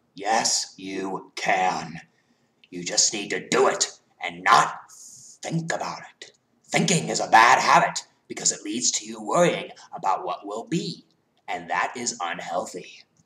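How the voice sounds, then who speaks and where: A man in a put-on character voice at a moderate pace, with long, frequent pauses. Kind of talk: fan-film villain impression. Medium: short film. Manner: manipulative, mocking, persuasive.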